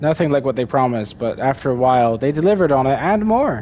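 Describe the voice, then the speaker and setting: Very fast speech over noticeable background noise. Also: man. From Britain. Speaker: video game streamer. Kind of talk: live gameplay commentary. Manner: casual, meandering with fillers.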